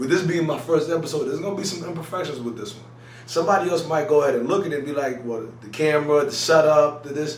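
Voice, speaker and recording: A man talks at a very fast pace with ordinary pitch variation. Audible room echo and noticeable background noise surround his voice. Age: 20s. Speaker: YouTuber. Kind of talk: casual vlog talk to camera. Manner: choppy at times; casual, lots of fillers.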